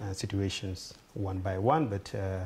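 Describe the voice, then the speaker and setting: A man's dark, mellow, somewhat breathy voice at a fairly low pitch. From Sudan, Darfur. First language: Fur or Arabic. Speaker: refugee speaker. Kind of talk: talk to an audience. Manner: halting.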